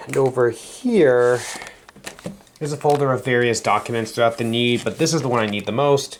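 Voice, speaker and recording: A man's fairly even intonation against noticeable background noise. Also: medium pitch for a man, moderate pace. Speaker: vlogger. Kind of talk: casual vlog.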